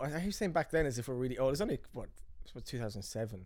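A man with an Irish accent at a very fast pace. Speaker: filmmaker and podcast host. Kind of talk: casual chat.

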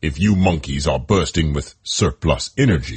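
A man puts on a character voice that is raspy and growling, pitched very deep and low. His intonation is lively. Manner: gruff, sarcastic.

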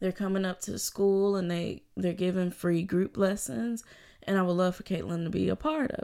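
A woman with a normal speaking voice talks at a moderate pace and a medium pitch. Her pitch variation is ordinary, and the recording is very clean with a silent background. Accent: American. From US South, Birmingham, Alabama. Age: 20s. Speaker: violinist, graduate student. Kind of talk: interview.

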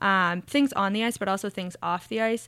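With an American accent, the speaker goes at a fairly slow pace on a very clean recording with a silent background. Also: woman. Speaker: hockey team scouting director. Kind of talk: casual interview chat.

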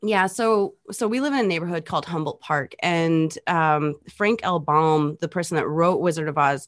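A woman with an American accent and a fairly low pitch talks at a moderate pace with ordinary pitch variation in an ordinary speaking voice, over a quiet background. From near St. Louis, Missouri. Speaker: electronic musician. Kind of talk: casual chat.

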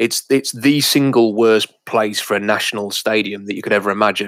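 An English accent at a fairly quick pace on a very clean recording with a silent background. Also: man. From England. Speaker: sports podcast co-host. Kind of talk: casual chat.

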